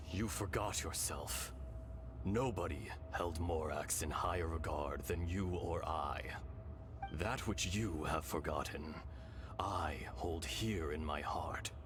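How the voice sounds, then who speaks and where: A man puts on a character voice with a very deep, low pitch. He speaks at a fairly slow pace over loud background noise. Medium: machinima. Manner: slow, solemn.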